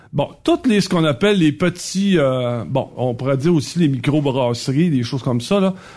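Speaking in a Quebec accent, a man with a fairly high pitch moves at a moderate pace with hardly any pauses and lively intonation, on a very clean recording with a silent background. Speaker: radio columnist. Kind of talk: casual chat.

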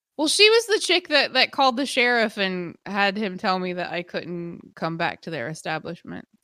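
A woman's bright, sharp voice with lively intonation and hardly any pauses. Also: medium pitch for a woman, moderate pace. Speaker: podcast co-host. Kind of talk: casual chat. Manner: animated.

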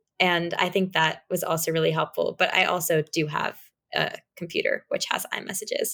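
At a moderate pace, a woman in an American accent keeps her loudness very even. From US Northeast, New York City. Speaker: college student. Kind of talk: interview.

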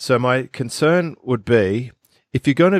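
In an Australian accent, a man speaks with ordinary pitch variation in a dry, close sound with no echo, on a very clean recording with a silent background. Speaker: business expert podcast co-host. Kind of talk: casual chat.

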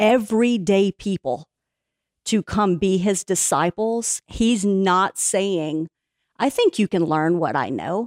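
A woman has an ordinary speaking voice, talking at a fairly slow pace with ordinary pitch variation on a very clean recording with a silent background. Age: 40s. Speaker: Bible teacher. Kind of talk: podcast interview.

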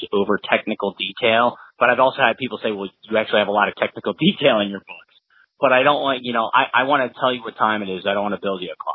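Spoken with an American accent, the delivery is very fast with ordinary pitch variation. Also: man. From US Midwest, Cincinnati, Ohio. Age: 40s. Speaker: thriller author, former Marine officer. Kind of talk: interview.

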